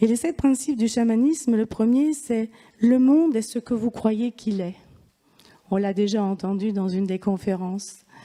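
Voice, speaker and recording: At a fairly slow pace, a woman with a fairly high pitch, ordinary pitch variation and a dark, mellow tone speaks with big swings in loudness. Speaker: shamanism and Reiki speaker. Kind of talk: lecture. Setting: conference hall with audience.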